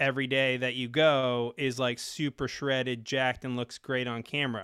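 A man speaks at a moderate pace with a medium-pitched voice. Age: 40s. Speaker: fitness and money coach. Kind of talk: casual chat. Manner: animated.

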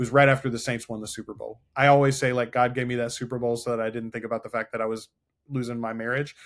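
A man talks at a very fast pace in a monotone, flat intonation at medium pitch. The recording is very clean, with a silent background. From North Louisiana. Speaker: podcast editor and consultant, former radio host. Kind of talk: casual interview chat.

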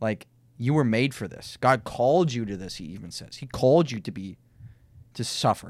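On a very clean recording with a silent background, a man with an American accent talks at a medium pitch and moderate pace, his intonation lively and his loudness swinging widely. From US Minnesota. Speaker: podcast host and pastor-teacher. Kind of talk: casual debate chat.

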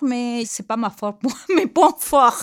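Very slowly, a woman speaks in a Spanish accent with very wide pitch swings. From Peru. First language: Spanish (speaking French). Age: 50s. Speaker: job training participant. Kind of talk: testimony. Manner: halting.

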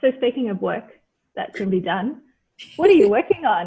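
The voice belongs to a woman with an Australian accent. It sounds somewhat breathy. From Australia (born Mauritius, moved at four). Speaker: podcast host. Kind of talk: interview.

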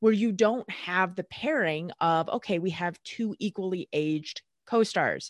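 A woman with an unremarkable speaking voice talks at a moderate pace with lively intonation. The sound is dry and close with no echo, and the background is quiet. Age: 30s. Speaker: sports chiropractor. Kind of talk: casual interview.

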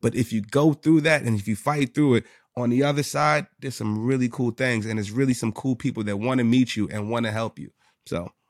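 In a New York accent, a man with a medium pitch speaks fairly quickly with ordinary pitch variation, the sound dry and close with no echo. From New York City, the Bronx. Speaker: sales executive and business owner. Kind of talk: casual interview chat. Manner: animated.

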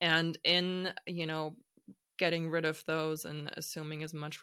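In a very clean recording with a silent background, a woman with a German accent speaks in a very deep, low pitch, her tone bright and sharp and her intonation monotone and flat. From Germany, Hamburg. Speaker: startup founder. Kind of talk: interview conversation.

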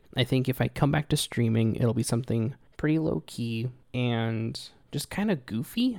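At a moderate pace, a man speaks in a medium pitch, in a very clean recording with a silent background. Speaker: podcast host. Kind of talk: casual solo podcast answering emails. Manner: not monotone, excitement not loud.

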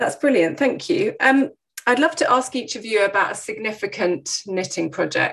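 A woman speaks at a fairly quick pace with lively intonation. It is a normal speaking voice. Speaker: podcast host and clinical psychologist. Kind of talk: casual interview chat.

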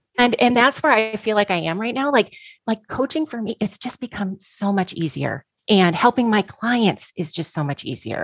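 Moderately paced, a woman with an ordinary speaking voice and a fairly high pitch uses lively intonation, the sound dry and close with no echo. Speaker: coach, collective member. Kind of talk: casual discussion.

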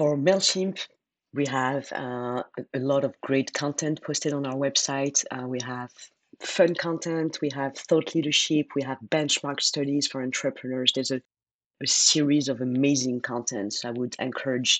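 A woman speaks in a French accent at a moderate pace. Her pitch is very deep and low, and her intonation is fairly even. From France. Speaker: marketing executive. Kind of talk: podcast interview.

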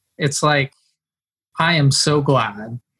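A fairly high-pitched man with an American accent, at a very slow pace. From Northern California, rural Mendocino County. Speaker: performance and habit coach. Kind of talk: casual interview conversation.

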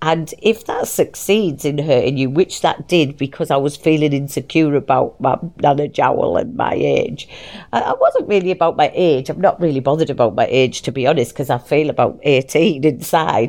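Lively intonation marks a woman's very deep, low voice, delivered at a moderate pace. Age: 40s. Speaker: podcast host. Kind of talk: casual monologue. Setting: recording in bed. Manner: animated.

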